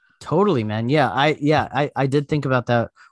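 An ordinary speaking voice from a man at a fairly quick pace, with ordinary pitch variation and a dry, close sound with no echo. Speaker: comedian. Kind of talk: casual comedy banter. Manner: filler-heavy, rambling.

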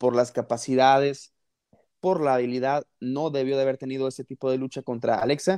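With a Mexican accent, a man talks at medium pitch in a dry, close recording with no echo and a quiet background. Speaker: wrestling podcast host. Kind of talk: casual chat.

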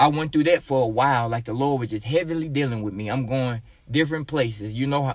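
Recorded very cleanly against a silent background, a man speaks at medium pitch with ordinary pitch variation and an Arkansas accent. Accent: Southern US (Arkansas). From Arkansas, US South. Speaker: church member giving testimony, pastor's kid. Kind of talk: testimony.

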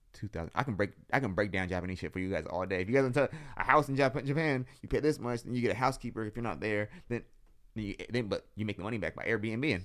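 This man talks at a very fast pace with an American accent, his pitch sitting in the medium range. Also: ordinary pitch variation. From San Jose, California. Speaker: photographer and entrepreneur. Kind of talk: casual interview chat. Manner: fast talker.

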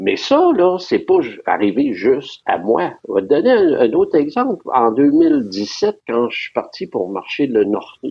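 A man with a Quebec accent, at a fairly slow pace. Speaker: retired pilgrim, former photographer. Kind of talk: casual interview.

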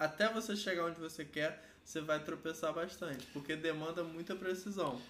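A man's plain, everyday voice, fairly high in pitch, at a fairly slow pace with ordinary pitch variation. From Rio de Janeiro, Brazil. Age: 30s. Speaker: tattoo artist. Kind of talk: casual chat.

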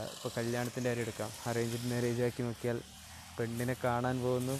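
The voice keeps a monotone, flat intonation over noticeable background noise. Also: man. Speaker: beginner podcaster. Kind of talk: solo podcast monologue. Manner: halting, searching for words; consciously neutralized speech, avoiding native slang.

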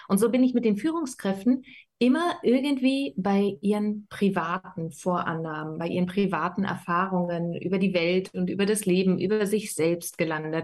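A woman speaks in an ordinary speaking voice at medium pitch. Her pitch variation is ordinary. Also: moderate pace. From Berlin, Germany. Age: 30s. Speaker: life coach. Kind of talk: casual interview.

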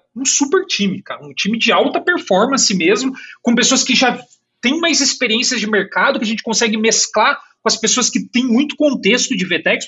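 A man's extremely high-pitched voice with lively intonation. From Brazil, Curitiba. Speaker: engineering director. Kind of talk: casual interview. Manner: animated; halting with repeated words.

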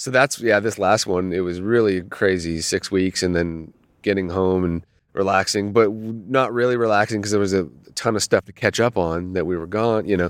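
A man speaks with an ordinary speaking voice, fairly low in pitch and fairly even in intonation, at a moderate pace over a quiet background. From Canada, Toronto. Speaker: rock guitarist. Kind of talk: casual interview. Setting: outdoors at night in a quiet park.

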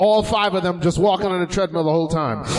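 The speaker has an American accent and fairly even intonation. Noticeable background noise runs underneath. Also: man. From Haitian family, US. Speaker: comedy podcast co-host. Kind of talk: live comedy talk show. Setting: stage with audience.

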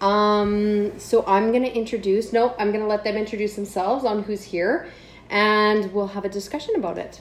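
A woman with a Canadian accent has a plain, everyday voice, speaking at a moderate pace and medium pitch with fairly even intonation. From Canada. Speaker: podcast host. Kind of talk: casual chat.

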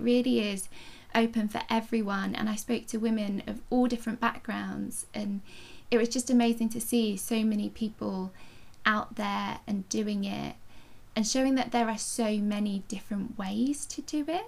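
With vocal fry and a slightly mellow tone, a woman talks at a moderate pace with fairly even intonation.

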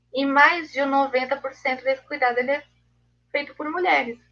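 The pitch of this woman's voice is high. It varies in an ordinary way. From Blumenau, Santa Catarina, Brazil. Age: 20s. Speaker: literature reading-group mediator. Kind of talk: live video interview.

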